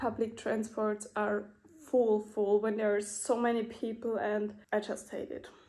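Dark, mellow female voice with monotone, flat intonation at a fairly slow pace. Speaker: vlogger. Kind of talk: casual vlog monologue. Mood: teary, emotional. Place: home room. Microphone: phone near.

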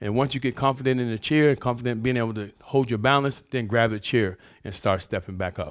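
A man at a moderate pace against a quiet background. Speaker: fitness instructor. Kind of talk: tutorial. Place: gym. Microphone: lapel.

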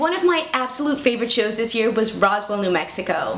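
There is audible room echo around a woman whose pitch is high. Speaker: costume tutorial host. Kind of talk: tutorial intro, casual vlog chat. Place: home room.

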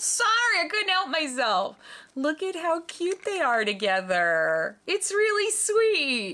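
A woman's raised, projected voice comes through over light background noise. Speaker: doll review vlogger. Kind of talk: casual vlog chat. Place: home room.

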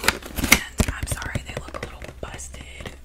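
The voice belongs to a woman who whispers. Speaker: ASMR creator. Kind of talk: ASMR roleplay with close-up personal attention. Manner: whispered, soft, friendly. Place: home room. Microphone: studio mic.

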